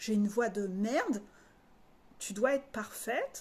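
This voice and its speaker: Her voice is fairly high and somewhat breathy, and this woman uses ordinary pitch variation. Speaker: life coach. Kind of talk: spiritual coaching video monologue. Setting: video recorded to camera.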